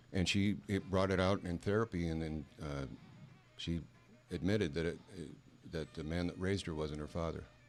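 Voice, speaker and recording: Music plays behind a man with a very deep, low pitch. He moves at a moderate pace with long, frequent pauses. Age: 60s. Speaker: male stripper troupe member. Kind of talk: casual chat. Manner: halting.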